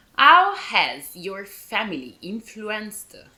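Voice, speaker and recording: Speaking with an Italian accent, a woman has a bright, sharp tone. Her pitch swings very widely. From Italy. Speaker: podcast host. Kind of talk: casual chat.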